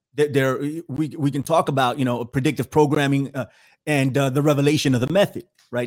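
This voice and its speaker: The recording is very clean, with a silent background. The speaker moves at a fairly quick pace. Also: man. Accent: New York. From New York City, the Bronx. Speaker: podcast host and researcher. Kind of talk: talk show interview.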